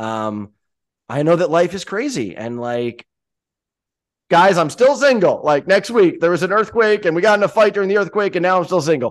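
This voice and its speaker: In an American accent, a man with a high pitch swings very widely in pitch over a quiet background. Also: moderate pace. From US Northeast. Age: 30s. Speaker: podcast host. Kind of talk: casual chat.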